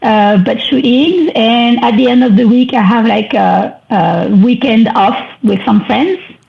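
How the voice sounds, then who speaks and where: Over noticeable background noise, a woman with a French accent speaks at a fairly slow pace and a fairly high pitch, with ordinary pitch variation and very even loudness. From France. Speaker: wedding photographer. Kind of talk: podcast interview.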